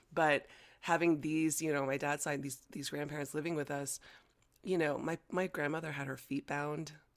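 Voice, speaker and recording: A General American accent comes through in a flat, monotone delivery. The recording is very clean, with a silent background. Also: woman, very deep, low pitch for a woman, moderate pace. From United States, Chinese-American family. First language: Chinese. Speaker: breathwork guide. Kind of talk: casual interview conversation.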